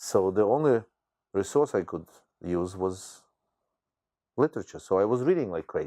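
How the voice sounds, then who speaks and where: A man's dark, mellow, fairly low voice in a strong Ukrainian accent, lively in intonation, at a moderate pace with long, frequent pauses, on a very clean recording with a silent background. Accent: thick Ukrainian. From Ukraine, Khmelnytsky. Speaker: teacher. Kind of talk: interview.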